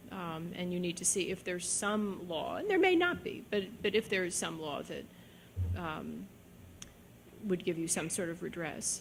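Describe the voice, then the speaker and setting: A woman at a moderate pace, with long, frequent pauses and audible room echo. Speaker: judge. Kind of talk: lecture Q&A answer. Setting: lecture hall with audience.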